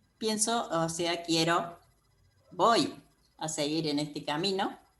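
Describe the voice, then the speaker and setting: Speaking at a very slow pace, a woman with a fairly low pitch is heard on a very clean recording with a silent background. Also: long, frequent pauses. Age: 70s. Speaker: course participant. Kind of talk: testimony. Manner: halting.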